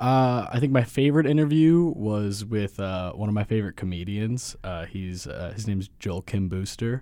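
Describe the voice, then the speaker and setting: His tone is dark and mellow, with a fairly low pitch for a man. He talks at a moderate pace with lively intonation. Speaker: guest.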